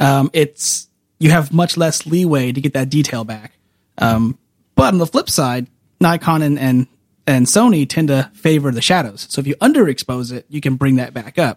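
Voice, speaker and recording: An American-accented man speaks in a fairly high pitch with ordinary pitch variation and an ordinary speaking voice. The sound is dry and close, with no echo. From California Central Valley (Woodlake). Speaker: camera store employee, photographer. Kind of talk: casual chat.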